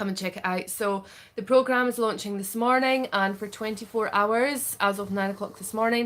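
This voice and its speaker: At a fairly quick pace, a woman with a Scottish accent talks in a medium pitch with ordinary pitch variation. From Scotland. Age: 30s. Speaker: parenting coach. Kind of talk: sales pitch. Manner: casual, filler-heavy.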